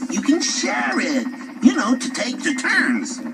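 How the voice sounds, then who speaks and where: A man puts on a character voice at a fairly slow pace. Faint music plays in the background. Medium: read story. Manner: stammering.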